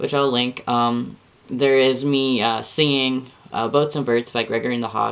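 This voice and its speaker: A plain, everyday voice from a man, medium in pitch, with fairly even intonation at a moderate pace. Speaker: vlogger sharing transition update. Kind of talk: casual vlog monologue. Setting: camera on a bookshelf in bedroom. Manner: rambling, many fillers.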